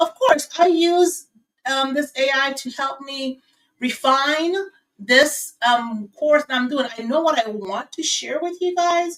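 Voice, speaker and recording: A woman talks very slowly in a high voice, her pitch varying in an ordinary way. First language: not English; English is her third language. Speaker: small business AI coach. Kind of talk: live stream tutorial. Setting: live stream on video platforms. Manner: halting, many fillers and restarts.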